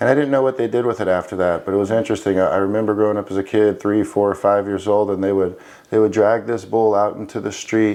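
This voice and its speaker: A man with a Florida accent speaks at a very fast pace with fairly even intonation. His voice has a fairly low pitch and a dark, mellow tone. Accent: American, Florida. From Florida, US (early childhood in Spain). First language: Spanish. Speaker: military veteran, former special forces trainer. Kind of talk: interview testimony.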